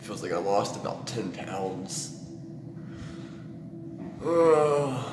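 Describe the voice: Over clear background noise, a man speaks at a fairly low pitch. His delivery is very slow with lively intonation.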